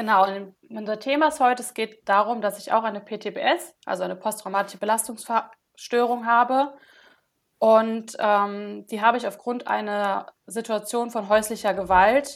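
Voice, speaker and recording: A woman speaks at a moderate pace and fairly high pitch, with fairly even intonation but big swings in loudness. The recording is very clean, with a silent background. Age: 20s. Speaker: social work student sharing trauma story. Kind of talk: testimony. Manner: hesitant, many filler sounds.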